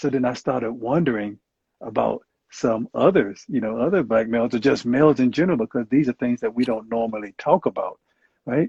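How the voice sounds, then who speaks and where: A man with a Southern US accent speaks at a fairly quick pace and medium pitch. The sound is dry and close with no echo, and the background is quiet. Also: ordinary pitch variation. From US South. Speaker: clinical psychologist and Marine veteran. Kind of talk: interview. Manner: hesitant, many fillers.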